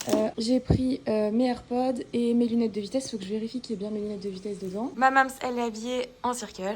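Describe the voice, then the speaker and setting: A woman speaks at a very fast pace in a fairly high voice with fairly even intonation. Noticeable background noise runs underneath. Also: hardly any pauses. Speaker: vlogger. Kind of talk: casual vlog chat.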